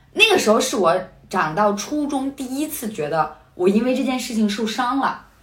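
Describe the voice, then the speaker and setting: Against noticeable background noise, a woman speaks at a moderate pace in a high pitch with very wide swings. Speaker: podcast co-host. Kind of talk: casual chat. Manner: laughs often.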